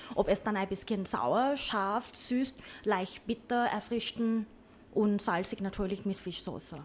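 A woman with a Thai accent at a medium pitch, with ordinary pitch variation and a very slow pace. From Thailand, Bangkok. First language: Thai (speaking German). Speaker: cook. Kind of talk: casual chat. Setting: cooking studio.

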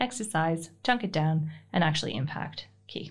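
A woman speaks in a somewhat breathy voice, her pitch swinging very widely. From Canada. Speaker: business owner. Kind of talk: casual interview.

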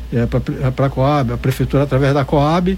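A man talks at a fairly slow pace. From Salvador, Bahia, Brazil. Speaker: founder of an arts and percussion project. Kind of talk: radio interview.

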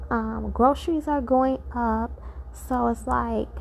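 With vocal fry and fairly even intonation, a woman speaks at a high pitch.

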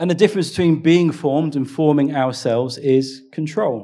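A fairly high-pitched male voice with a dark, mellow tone and ordinary pitch variation. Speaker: pastor. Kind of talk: sermon. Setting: church. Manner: fast.

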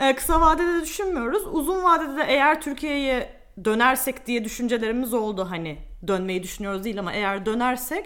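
A woman speaks at a moderate pace with very wide pitch swings, and audible room echo fills the space. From Turkey. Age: 20s. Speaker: media planner. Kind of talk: casual interview chat.

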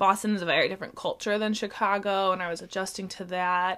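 In an unremarkable speaking voice, a woman talks at a fairly quick pace and medium pitch on a very clean recording with a silent background. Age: 20s. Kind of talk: casual chat.

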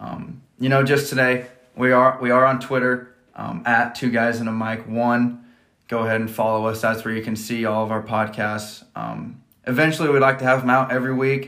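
In a Midwestern American accent, a man speaks at medium pitch and a moderate pace. His monotone, flat intonation carries through audible room echo. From US Midwest, rural Nebraska. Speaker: podcast host, college student and coach. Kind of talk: casual chat.

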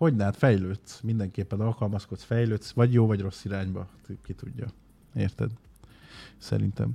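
Somewhat breathy with a dark, mellow tone, a man speaks at a moderate pace, leaving long, frequent pauses. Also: ordinary pitch variation. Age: 30s. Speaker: streamer. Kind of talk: casual chat. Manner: animated.

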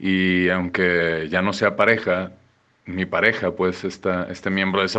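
A man speaks with a very deep, low pitch. His tone is bright and sharp. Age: 30s. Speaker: interviewee sharing divorce experience. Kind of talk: pre-recorded interview answers.

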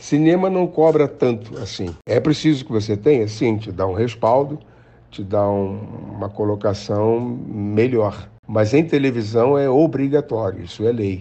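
A man speaks in a plain, everyday voice. His pace is fairly slow. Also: medium pitch for a man, lively intonation. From Rio de Janeiro, Brazil. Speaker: actor and director. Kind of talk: interview.

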